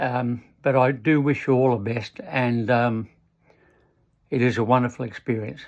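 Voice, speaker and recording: A man speaks at a medium pitch. He has an Australian accent. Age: 70s. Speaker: retired amateur triathlete. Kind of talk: motivational talk. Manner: halting.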